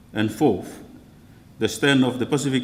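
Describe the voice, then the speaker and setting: Speaking at a fairly slow pace, a man with a Tahitian French accent shows ordinary pitch variation. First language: Tahitian or French. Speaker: church leader. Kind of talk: keynote speech. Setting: conference hall with audience. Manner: halting.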